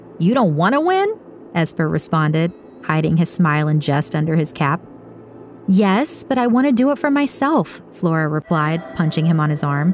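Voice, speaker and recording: Music plays in the background as a woman speaks in a dramatic tone. Her pitch is fairly low, with ordinary variation. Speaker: audiobook narrator. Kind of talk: scripted audiobook narration, dramatic. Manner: dramatic, atmospheric, measured storytelling pace.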